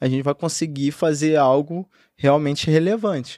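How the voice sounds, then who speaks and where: A man speaks at a moderate pace and a fairly high pitch, in a normal speaking voice. The recording is very clean and dry, with a silent background and no echo. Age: 20s. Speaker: entrepreneur. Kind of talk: podcast interview.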